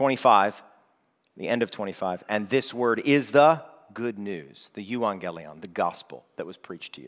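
On a very clean recording with a silent background, a man speaks at a fairly low pitch with lively intonation. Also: moderate pace, big swings in loudness. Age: 30s. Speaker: worship leader preaching. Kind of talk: sermon. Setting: church.

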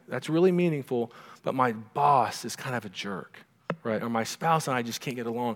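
This recording has a natural reading voice.

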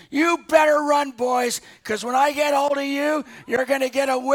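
A man puts on a character voice at an extremely high pitch. His delivery stays monotone and flat. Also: moderate pace. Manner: bold, threatening.

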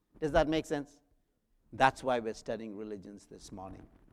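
A man speaks with an Indian accent. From South India. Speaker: guest preacher and professor. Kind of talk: sermon. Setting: church.

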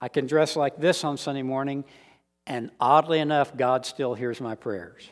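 On a very clean recording with a silent background, a man with a plain, everyday voice, an American accent and a fairly high pitch talks at a moderate pace with fairly even intonation. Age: 50s. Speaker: Bible teacher and deacon. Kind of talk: lecture.

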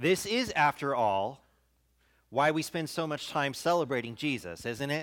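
A man speaks in a plain, everyday voice, fairly high in pitch with lively intonation. The recording is very clean, with a silent background. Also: moderate pace. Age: 40s. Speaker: pastor. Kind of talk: sermon.

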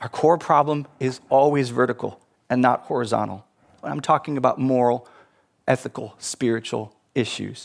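A man's plain, everyday voice at a medium pitch. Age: 50s. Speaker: pastor. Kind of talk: sermon.

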